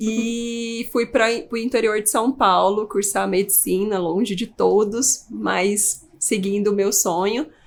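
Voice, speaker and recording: A woman speaks at a fairly high pitch and a very slow pace. She hardly pauses at all. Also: fairly even intonation. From Brazil, Pará and Goiânia. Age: 30s. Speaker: geriatric doctor. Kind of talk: podcast interview.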